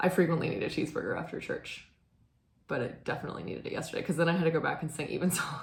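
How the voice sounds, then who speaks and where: Talking very fast with ordinary pitch variation, a woman with a fairly low, somewhat breathy voice is heard amid audible room echo. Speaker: knitting video host and church musician. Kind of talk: casual chat. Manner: hesitant, many fillers.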